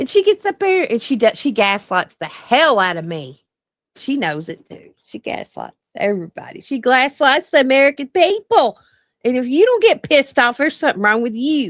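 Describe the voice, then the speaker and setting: An angry woman with a Southern US accent speaks at a moderate pace and a high pitch, her voice swinging very widely in pitch and sharply in loudness. The sound is dry and close with no echo, over a quiet background. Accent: Southern country twang. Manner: angry, indignant.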